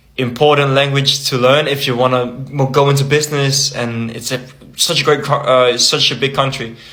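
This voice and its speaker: A man with a fairly high pitch and a Danish accent at a moderate pace, amid noticeable background noise. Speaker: language-learning content creator. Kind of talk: casual vlog talk. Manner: halting, with fillers and restarts.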